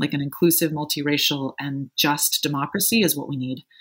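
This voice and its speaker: In a very clean recording with a silent background, a woman with an American accent speaks at a moderate pace in a very deep, low pitch with fairly even intonation. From US Midwest, Evanston, Illinois. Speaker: progressive organizer and strategist. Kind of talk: interview conversation.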